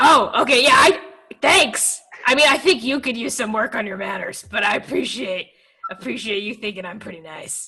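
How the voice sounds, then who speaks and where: Doing a put-on character voice, a woman speaks raspy and fairly high at a moderate pace, with very wide pitch swings. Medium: actual play. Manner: awkward, blunt.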